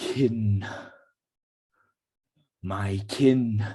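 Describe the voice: A man puts on a character voice. It is rumbling and fairly low in pitch. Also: fairly even intonation.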